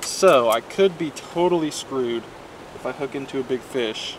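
Light background noise sits behind a man's voice. He talks at a fairly slow pace with a dry sound and no echo. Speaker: angler vlogger. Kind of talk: casual vlog chat. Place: waterside. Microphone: phone near.

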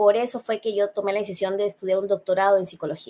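A woman speaks at a fairly quick pace. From Peru. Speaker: psychologist; guest. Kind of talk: interview. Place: home room. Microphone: webcam.

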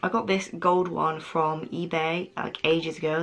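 Faint background music can be heard. Over it, a woman talks. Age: 20s. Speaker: lifestyle YouTuber. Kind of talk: casual talk to camera. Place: home room. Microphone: camera far.

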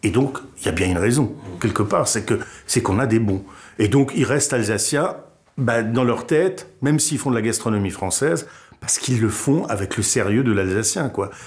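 Somewhat breathy, a man talks at a moderate pace with lively intonation. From Alsace, France (Wolfisheim near Strasbourg); Alsace, France. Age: 50s. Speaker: comedian and radio/TV columnist; interviewee, comedian. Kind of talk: interview testimony; interview answer. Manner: hesitant, with fillers. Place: studio. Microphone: lapel.

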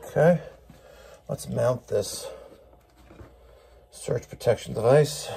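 A man speaks slowly at a medium pitch, with vocal fry and a husky, rough edge. His tone is dark and mellow. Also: ordinary pitch variation.

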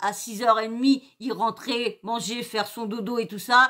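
A woman's voice is high-pitched, with a bright, sharp tone. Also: quiet background. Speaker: youtuber. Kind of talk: angry rant, indignant story-time vent about a hurtful comment; casual chat. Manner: agitated, indignant, emphatic; rambling, hesitant, many fillers and repetitions. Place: home room. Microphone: webcam.

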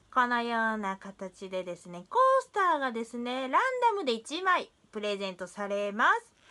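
The pitch of this female speaker swings very widely. She keeps to a moderate tempo. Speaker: vlogger. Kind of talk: casual vlog chat. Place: home room. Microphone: phone near.

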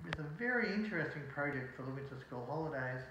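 A man talks at a fairly quick pace amid audible room echo and noticeable background noise. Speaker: presenter. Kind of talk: tutorial. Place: home room. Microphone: phone near.

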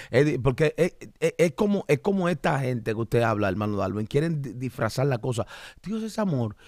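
A man speaks at a moderate pace and a medium pitch in an animated tone with very wide pitch swings, the sound dry with no echo and the background quiet. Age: 40s. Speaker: pastor and podcast host; pastor, podcast host. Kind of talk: religious podcast discussion. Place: studio. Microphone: studio mic.

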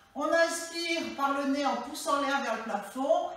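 A woman speaks at a very slow pace and a high pitch. Strong room echo surrounds her voice. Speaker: fitness instructor. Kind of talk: exercise class instruction. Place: home room. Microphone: camera far.

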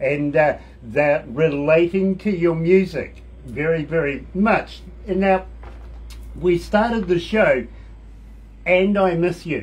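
A man speaks slowly, his fairly high voice carrying a slightly mellow tone. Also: ordinary pitch variation.

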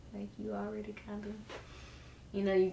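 A woman's speech carries audible room echo, with light background noise underneath. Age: young adult. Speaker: girlfriend of the host. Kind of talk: casual chat. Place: home room. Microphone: camera far.

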